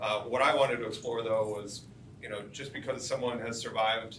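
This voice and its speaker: A man at a moderate pace and medium pitch, with fairly even intonation, audible room echo, and noticeable background noise. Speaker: screenwriter and film director. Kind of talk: live Q&A panel. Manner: loud.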